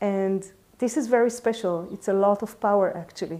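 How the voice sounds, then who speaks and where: This woman talks at a fairly slow pace with a medium pitch. Her tone is dark and mellow, and her intonation stays fairly even. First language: not English. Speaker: urban ecology teacher. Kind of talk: personal talk to camera. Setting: in front of a camera. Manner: halting, many fillers.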